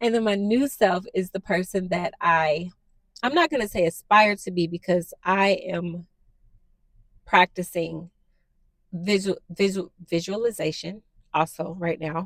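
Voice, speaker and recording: Soft-spoken, a woman talks at a fairly slow pace with ordinary pitch variation and long, frequent pauses, in a dry, close sound with no echo. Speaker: new YouTuber / podcaster. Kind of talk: casual personal monologue to camera. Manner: halting, many fillers.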